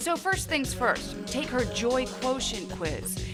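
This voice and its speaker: Music plays in the background as a woman speaks at a fairly slow pace. Her tone is upbeat and her intonation lively. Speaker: TV news reporter. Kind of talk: lifestyle segment host read. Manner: upbeat, breezy.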